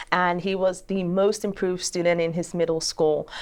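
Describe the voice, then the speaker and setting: The speaker has a Nigerian accent, and the background is quiet. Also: woman. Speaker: attorney and judicial candidate. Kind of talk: interview.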